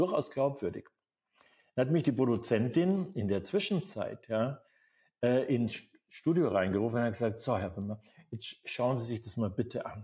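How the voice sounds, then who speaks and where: At a moderate pace with long, frequent pauses, a man speaks in a medium pitch with lively intonation and a somewhat breathy, dark, mellow tone. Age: 70s. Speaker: acting coach. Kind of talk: live seminar talk. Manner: animated.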